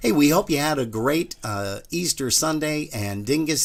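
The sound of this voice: A man's medium-pitched voice with vocal fry, lively intonation and a moderate pace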